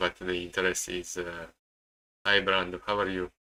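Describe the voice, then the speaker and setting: A man with an Italian accent speaks in a very deep, low pitch with a bright, sharp tone. His moderate pace comes through in a dry, close sound with no echo. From Italy. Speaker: day trader streamer. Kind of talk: live-stream commentary. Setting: live stream. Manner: halting, many repetitions.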